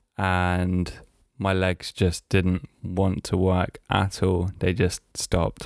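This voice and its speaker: A man's very deep, low voice at a very slow pace, with fairly even intonation, very even loudness, and a very clean recording over a silent background. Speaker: podcast host. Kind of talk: casual monologue. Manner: hesitant, filler-heavy.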